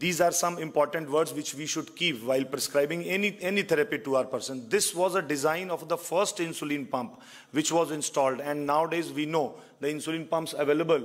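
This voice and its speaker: This man talks fairly quickly, his pitch varying in an ordinary way, with a quiet background behind him. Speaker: conference presenter. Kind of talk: lecture. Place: hall. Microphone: podium.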